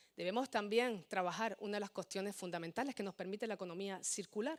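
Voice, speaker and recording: This woman talks at a medium pitch with ordinary pitch variation. The sound is dry and close, with no echo. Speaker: politician. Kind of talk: political speech. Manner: fast.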